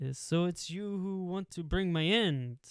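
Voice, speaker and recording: A man puts on a character voice in an Italian accent with a high pitch. He talks at a fairly slow pace. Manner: cool, menacing.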